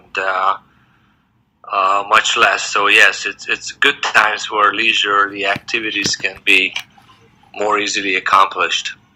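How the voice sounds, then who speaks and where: A man speaks with a Hungarian accent. His pace is fairly slow. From Hungary, moved to US as young teenager. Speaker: dentist. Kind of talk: interview.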